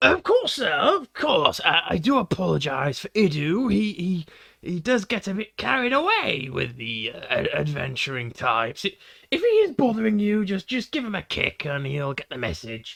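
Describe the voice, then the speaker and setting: In a put-on character voice, a man speaks at a moderate pace with a high pitch. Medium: actual play. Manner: polite, stammering.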